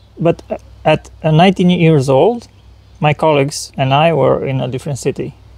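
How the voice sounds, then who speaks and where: The pace of this man's speech is average. His pitch shifts in a typical way. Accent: Romanian. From Romania. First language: Romanian. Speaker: spiritual channeler. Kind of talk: interview. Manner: halting.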